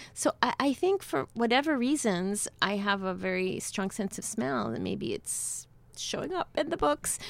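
A woman with a New York accent talks at a fairly slow pace. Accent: New York American. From New York City (Cuban-born). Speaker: novelist. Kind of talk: interview. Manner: halting, many fillers.

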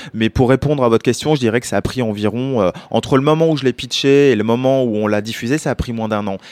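A man talks at a fairly quick pace with ordinary pitch variation, recorded very cleanly against a silent background with a dry, close sound and no echo. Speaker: documentary filmmaker. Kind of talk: interview. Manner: hesitant, repeats words.

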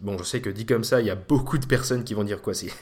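A man is speaking. His voice is somewhat breathy. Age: 20s. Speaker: podcast host. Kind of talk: solo monologue. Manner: casual.

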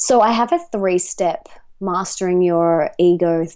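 A woman with an Australian accent speaks in a fairly low voice. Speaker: author and life coach. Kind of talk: podcast interview. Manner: animated.

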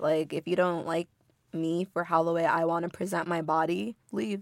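With an American accent, a woman speaks at a moderate pace. Her voice is plain, everyday, and fairly low in pitch. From US, Inglewood, California. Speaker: university student and student government candidate. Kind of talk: casual chat. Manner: chatty, frequent fillers.

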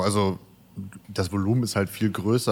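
A man's fairly low voice at a very fast pace, with monotone, flat intonation. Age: 20s. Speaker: videographer, company co-founder. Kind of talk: casual interview chat. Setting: remote recording.

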